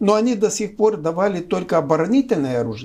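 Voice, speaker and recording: Very wide pitch swings and a fairly quick pace. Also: man. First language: Romanian (speaking Russian). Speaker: political analyst. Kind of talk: political discussion interview. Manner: hesitant, with filler sounds.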